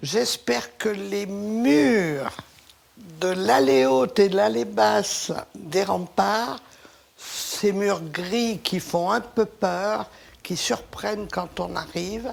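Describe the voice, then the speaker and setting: Over noticeable background noise, a woman speaks at a very slow pace and a medium pitch. Her pitch swings very widely. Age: 70s. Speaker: local resident. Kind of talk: interview.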